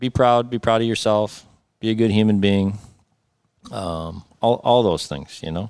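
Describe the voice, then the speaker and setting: Fairly low-pitched man's voice with an American accent, ordinary pitch variation, a fairly slow pace, and long, frequent pauses. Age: 50s. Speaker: landscaping and snow removal business owner. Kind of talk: interview.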